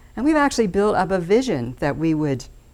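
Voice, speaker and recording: A woman is speaking. Her pace is moderate. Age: 60s. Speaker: steering committee chairperson. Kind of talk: public speech. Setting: stage with audience.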